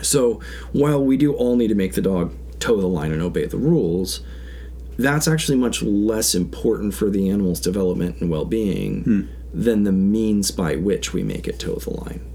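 Amid audible room echo, a man with a dark, mellow tone and fairly low pitch speaks at a moderate pace with very wide pitch swings. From Alaska, Big Lake/Houston area. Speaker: commercial fisherman. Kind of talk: casual chat.

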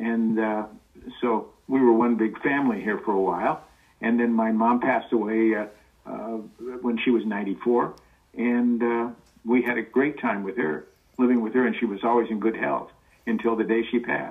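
Spoken at a moderate pace with an American accent, the voice comes through with noticeable background noise. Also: man, medium pitch for a man. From Los Angeles, US. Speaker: guest, voice actor's son. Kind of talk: casual interview chat, storytelling. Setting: remote recording, audio call. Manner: animated, does cartoon voices.

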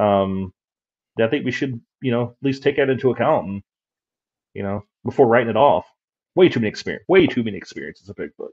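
Speaking very fast with an American accent, a man at a medium pitch uses lively intonation and big swings in loudness, leaving long, frequent pauses, all in a dry, close sound with no echo. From West Virginia. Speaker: paranormal investigator. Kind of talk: casual interview.

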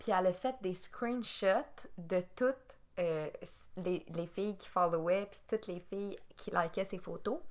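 A woman speaks at a very slow pace with a Quebec accent. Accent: Québécois French. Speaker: podcast co-host. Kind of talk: casual chat.

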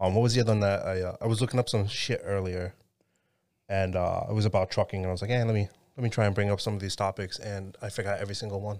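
A man's fairly low, monotone, flat voice at a very fast pace, on a very clean recording with a silent background. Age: 30s. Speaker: podcast host. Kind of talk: casual chat.

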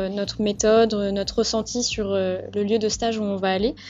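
Moderate pace from a woman, her fairly high voice monotone and flat. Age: 20s. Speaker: nursing student. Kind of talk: casual chat.

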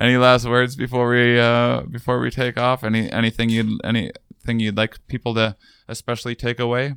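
At a fairly quick pace, a man with a medium-pitched voice speaks in a monotone, flat way, the sound dry and close with no echo on a very clean recording with a silent background. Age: 30s. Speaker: podcast host. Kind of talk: casual interview. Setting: on location at a university.

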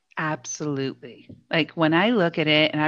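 Against a quiet background, a woman with an Ontario accent speaks in a very deep, low pitch. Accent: Canadian (Ontario). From Hamilton, Ontario, Canada. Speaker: podcast co-host, small business coach. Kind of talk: casual chat.

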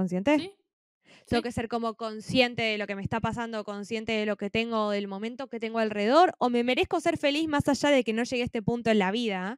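Speaking very fast in a Rioplatense accent, a woman with a fairly high pitch comes through on a very clean recording with a silent background and a dry, close sound with no echo. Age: 20s. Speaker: podcast co-host, university student. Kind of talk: casual chat.

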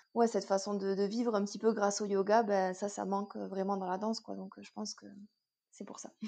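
A woman's medium-pitched voice with a dark, mellow tone moves at a fairly quick pace in a monotone, flat intonation, with big swings in loudness. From southwest France. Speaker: yoga teacher and fitness coach. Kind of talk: casual interview. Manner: hesitant, many fillers.

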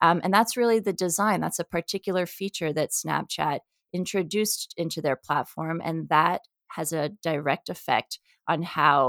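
A woman's ordinary speaking voice, fairly low with ordinary pitch variation, at a moderate pace, dry and close with no echo, on a very clean recording with a silent background. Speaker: psychologist and professor. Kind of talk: interview.

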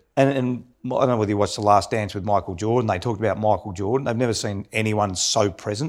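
A fairly low-pitched man with an Australian accent, very fast, with fairly even intonation and hardly any pauses, on a very clean recording with a silent background. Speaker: podcast host, former footballer. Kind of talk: casual chat.

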